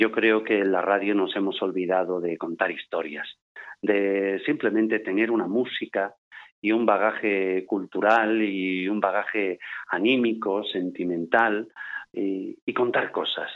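A man speaks at a fairly slow pace with a fairly low pitch. His intonation stays fairly even. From Barcelona, Spain (Andalusian-born). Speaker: voice-over narrator and broadcaster. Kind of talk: interview.

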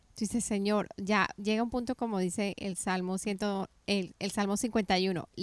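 On a very clean recording with a silent background, a woman with an unremarkable speaking voice talks at a fairly slow pace, her pitch fairly high and her intonation fairly even. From Colombia. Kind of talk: faith interview chat.

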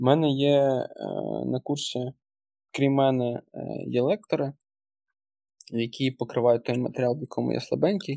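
Recorded dry and close with no echo, a man speaks at a moderate pace and medium pitch in a dark, mellow tone with ordinary pitch variation. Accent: Russian. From western Ukraine. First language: Russian (speaking Ukrainian). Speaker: senior product manager and course instructor. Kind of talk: casual interview chat. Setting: remote podcast recording.

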